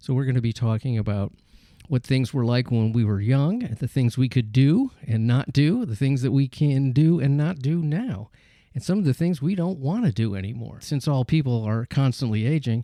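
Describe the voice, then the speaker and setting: This man has a dark, mellow tone and a medium pitch. He speaks at a moderate pace with ordinary pitch variation. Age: 70s. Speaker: podcast host. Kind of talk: casual interview chat.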